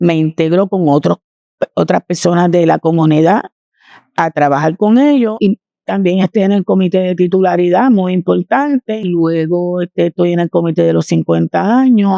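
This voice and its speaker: A dark, mellow tone at a moderate pace, with very even loudness, ordinary pitch variation and a dry, close sound with no echo. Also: woman, fairly low pitch for a woman. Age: 70s. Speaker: community volunteer. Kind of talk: interview testimony.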